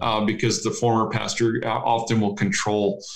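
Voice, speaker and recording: This is an ordinary speaking voice from a man with an American accent. He speaks at a medium pitch and a moderate pace. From rural Ohio, US Midwest. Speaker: rural pastor. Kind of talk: casual interview.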